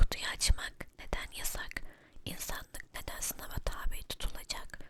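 Someone is whispering at a fairly slow pace. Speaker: storyteller. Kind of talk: ASMR story reading. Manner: whispered.

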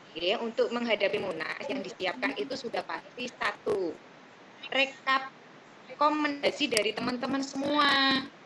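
A woman with a high voice speaks at a moderate pace with lively intonation over noticeable background noise. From Central Java, Indonesia. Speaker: association officer. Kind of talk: online meeting. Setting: video call. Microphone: video call.

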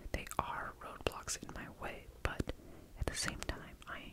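A soft-spoken man whispering amid loud background noise. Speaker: vlogger. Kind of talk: casual vlog chat. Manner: soft close-mic whisper. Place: home room. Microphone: studio mic.

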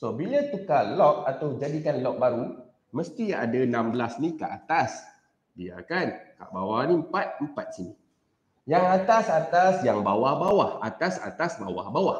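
A man with a fairly high pitch and vocal fry speaks at a fairly slow pace, his pitch swinging very widely. Loudness shifts a lot, and audible room echo fills the space. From Malaysia. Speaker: teacher. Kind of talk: live-streamed maths tutorial. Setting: live stream recorded on camera. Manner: casual, mixing English and Malay. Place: classroom.

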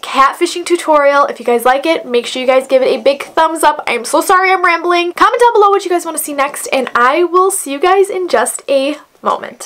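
A woman's extremely high voice with very wide pitch swings, a fairly quick pace and hardly any pauses. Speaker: beauty vlogger. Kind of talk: tutorial. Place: home room.

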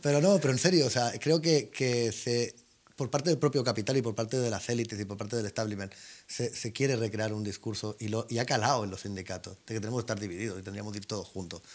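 His pitch sits at a medium level and varies in an ordinary way. The man's delivery is very fast. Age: 40s. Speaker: Roma activist; talk show guest. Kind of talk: panel discussion. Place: studio. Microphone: lapel.

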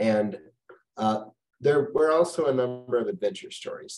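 A man speaks with lively intonation and a slightly mellow tone.

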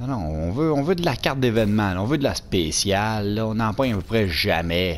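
With lively intonation and hardly any pauses, a man speaks at a moderate pace and a fairly low pitch. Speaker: gaming youtuber. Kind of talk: pack opening commentary. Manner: animated.

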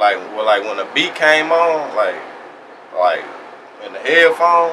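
Noticeable background noise sits behind a voice with an American accent speaking at a fairly slow pace. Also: man. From East Texas. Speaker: rapper; interviewee. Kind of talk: casual interview. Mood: relaxed, reflective.

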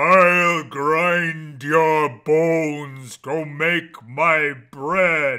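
In a put-on character voice, the speech moves very slowly yet has hardly any pauses. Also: man, fairly high pitch for a man. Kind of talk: comic overacting. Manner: menacing, slow, loud.

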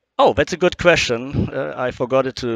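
A man is speaking against a quiet background. The sound is dry with no echo. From Germany. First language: German. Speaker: power supply company representative; guest. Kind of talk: interview. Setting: trade show booth. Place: hall. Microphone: headset.

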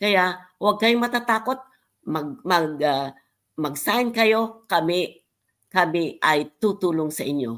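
A woman's medium-pitched voice with lively intonation at a very slow pace, on a very clean recording with a silent background. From Philippines. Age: 70s. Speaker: online business member. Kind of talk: livestream testimony. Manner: halting.

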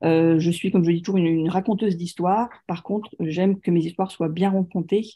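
A woman speaks at a fairly quick pace with a fairly low pitch in a plain, everyday voice. The background is quiet. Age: 40s. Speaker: author on serial killers; guest, storyteller. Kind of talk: lecture. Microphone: video call.

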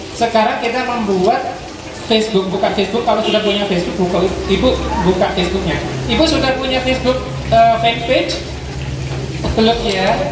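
The speech moves at a fairly quick pace but has long, frequent pauses, with audible room echo and noticeable background noise. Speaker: university lecturer giving training. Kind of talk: workshop presentation to villagers. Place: hall.

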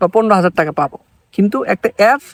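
A man speaks at a high pitch, the sound dry and close with no echo. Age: 20s. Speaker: software company founder. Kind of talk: promotional talk to camera.

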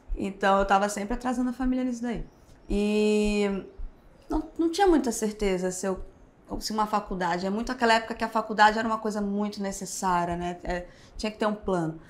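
A woman talks very fast with ordinary pitch variation. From Rio de Janeiro, Brazil. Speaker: tattoo artist; podcast guest. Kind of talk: casual interview. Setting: tattoo convention backstage. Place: studio.

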